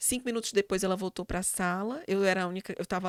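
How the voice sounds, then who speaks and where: A woman speaks at a very fast pace with a medium pitch and ordinary pitch variation. The recording is very clean with a silent background, dry and close with no echo. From Brazil, Fortaleza (Ceará, Northeast). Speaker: psychologist and university professor. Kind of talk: interview conversation. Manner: hesitant fillers, repetitions.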